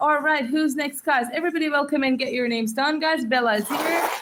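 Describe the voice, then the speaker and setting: Over noticeable background noise, a high-pitched woman speaks at a fairly quick pace with ordinary pitch variation. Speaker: livestreamer writing names in sand. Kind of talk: live stream shout-outs. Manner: fast; upbeat, energetic.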